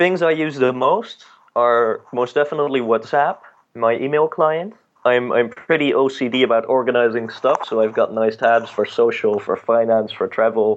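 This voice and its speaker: The speaker has a Dutch accent. Pitch varies in an ordinary way. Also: man, medium pitch for a man, moderate pace. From Netherlands. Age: 20s. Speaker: music entrepreneur. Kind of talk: interview.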